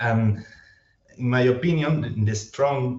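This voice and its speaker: At a very slow pace, a somewhat breathy man speaks with a non-native accent. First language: Spanish. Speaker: historian. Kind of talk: academic Q&A. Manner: halting.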